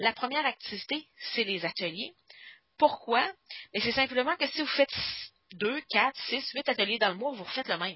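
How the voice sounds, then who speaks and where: A woman with a high voice and a Quebec accent, lively intonation, a moderate pace and long, frequent pauses. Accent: Québécois French. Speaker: stamping product demonstrator and trainer. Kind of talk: online workshop lecture. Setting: group Skype call. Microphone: reverb on the call.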